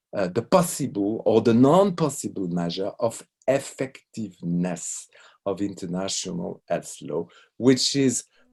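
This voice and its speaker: In a French accent, the speaker talks at a fairly slow pace with very wide pitch swings against a quiet background. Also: man, medium pitch for a man. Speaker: law professor. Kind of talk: lecture. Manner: halting.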